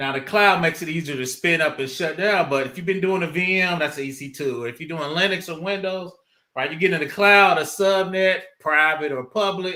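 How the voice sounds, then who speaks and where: A man with a high pitch and a bright, sharp tone speaks at a moderate pace with ordinary pitch variation, in a very clean recording over a silent background. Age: 50s. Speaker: cybersecurity consultant and cloud expert. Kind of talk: casual podcast chat. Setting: live-streamed podcast. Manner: casual, conversational.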